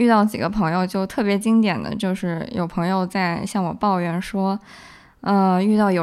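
A woman with a plain, everyday voice speaks at a medium pitch and moderate pace with fairly even intonation, in a very clean recording with a silent background. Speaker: film festival goer. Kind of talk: casual chat.

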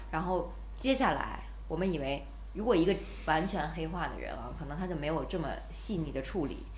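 A woman talks at a fairly quick pace with a slight northeastern Chinese accent. The room echo is audible, and the background noise is noticeable. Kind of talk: casual chat. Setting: studio.

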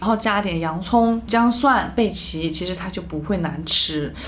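A woman's medium-pitched voice at a fairly slow pace, with ordinary pitch variation, amid noticeable background noise and audible room echo. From Chengdu, Sichuan, China. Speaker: media worker. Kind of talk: casual chat.

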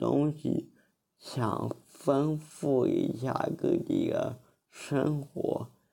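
Here a man is speaking. His pace is very slow. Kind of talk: recorded personal story.

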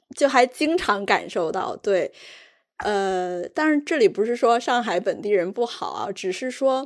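A woman with a slight northeastern Chinese accent speaks at a high pitch with very wide pitch swings and a fairly slow pace. The recording is very clean with a silent background. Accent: slight northeastern Mandarin. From Jilin, Changchun. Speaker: podcast host. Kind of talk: casual chat.

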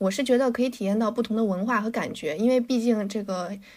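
A woman's ordinary speaking voice at medium pitch, fairly quick, with fairly even intonation. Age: 20s. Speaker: podcast co-host. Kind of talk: casual chat.

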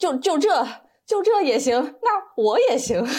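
Her pitch swings very widely as she talks. The woman speaks at a very slow pace. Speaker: accountant and amateur stand-up comedian. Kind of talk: casual interview chat.

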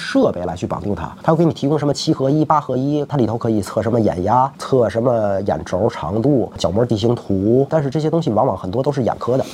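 This man talks at a very fast pace with lively intonation. His pitch is medium for a man. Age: 40s. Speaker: optometrist and eyewear shop owner. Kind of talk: interview chat.

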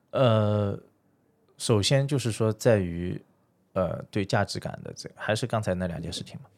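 A man's normal speaking voice, fairly low in pitch, at a fairly slow pace with ordinary pitch variation and big swings in loudness, on a very clean recording with a silent background. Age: 30s. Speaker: private fund manager. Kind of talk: casual chat.

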